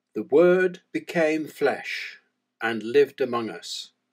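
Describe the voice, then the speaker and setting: A man with an English accent speaks in a solemn tone at a very slow pace. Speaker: church prayer leader. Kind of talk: fervent liturgical prayer with call-and-response refrains. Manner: measured, reverent cadence with solemn pauses; devout, earnest invocation of God.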